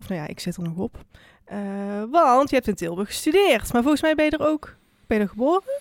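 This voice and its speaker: In a very clean, dry, close recording with no echo and a silent background, a woman talks very fast at a high pitch, with very wide pitch swings, big swings in loudness, and long, frequent pauses. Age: 20s. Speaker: podcast host and student. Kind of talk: interview conversation. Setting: studio.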